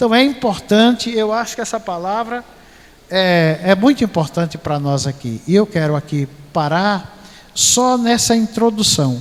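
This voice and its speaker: With lively intonation, a man with a high voice speaks at a fairly slow pace. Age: 60s. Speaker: pastor. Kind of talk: sermon.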